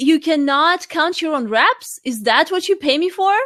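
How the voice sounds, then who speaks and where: A woman's extremely high-pitched voice with a non-native accent, lively intonation and a fairly slow pace. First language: not English. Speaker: life coach and fitness trainer. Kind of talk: interview. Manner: halting.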